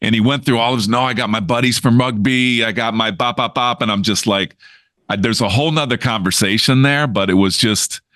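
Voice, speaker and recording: In an animated tone, a man with a bright, sharp voice at medium pitch speaks at a fairly quick pace with ordinary pitch variation over a quiet background. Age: 60s. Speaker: podcast co-host. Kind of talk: casual chat.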